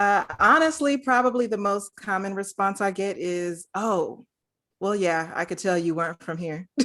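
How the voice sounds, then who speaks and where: A woman's medium-pitched voice, bright and sharp in tone, with lively intonation at a moderate pace. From US West Coast, Los Angeles. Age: 40s. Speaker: social services worker and energy worker. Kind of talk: casual interview.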